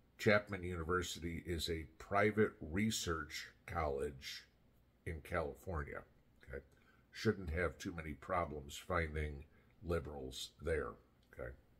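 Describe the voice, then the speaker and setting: Very deep and low in pitch, a man speaks with vocal fry at a fairly slow pace. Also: ordinary pitch variation. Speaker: political commentary vlogger. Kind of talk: commentary. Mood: sarcastic, indignant. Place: home room. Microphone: phone near.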